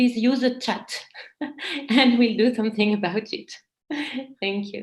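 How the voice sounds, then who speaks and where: A woman with a French accent, somewhat breathy, fairly high in pitch, at a fairly slow pace with fairly even intonation. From France. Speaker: meditation trainer. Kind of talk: casual chat. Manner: halting.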